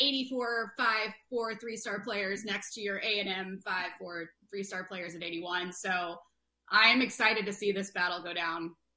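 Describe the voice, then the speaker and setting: Speaking at a fairly slow pace, a woman with a plain, everyday voice and medium pitch shows ordinary pitch variation and big swings in loudness. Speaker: co-host.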